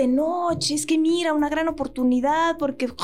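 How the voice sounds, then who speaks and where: Over noticeable background noise, a woman speaks in a high voice at a moderate pace with ordinary pitch variation. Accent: Mexican. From Mexico. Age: 30s. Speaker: actress and voice actress. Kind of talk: casual chat. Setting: studio.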